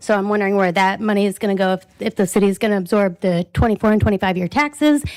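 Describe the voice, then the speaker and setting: A woman talks at a medium pitch. Her voice comes through dry and close, with no echo. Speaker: resident speaking at public comment. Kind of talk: public comment at city council meeting. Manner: fast.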